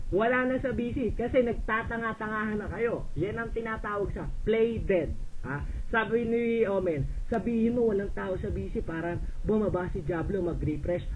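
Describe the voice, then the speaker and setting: A man's high-pitched voice with ordinary pitch variation, at a moderate pace, with audible room echo. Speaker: voice chat room user. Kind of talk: heated argument. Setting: online voice chat room. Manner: shouting; loud.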